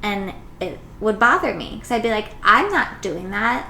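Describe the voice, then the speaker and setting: Moderate-paced speech from a woman, amid audible room echo. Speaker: podcast host, mother. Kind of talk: casual chat.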